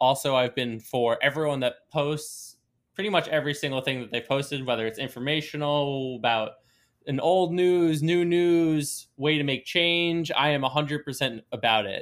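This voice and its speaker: A man with a fairly high pitch speaks in a plain, everyday voice at a moderate pace with ordinary pitch variation. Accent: American. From Long Island, New York. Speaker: sports podcast host. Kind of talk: casual chat.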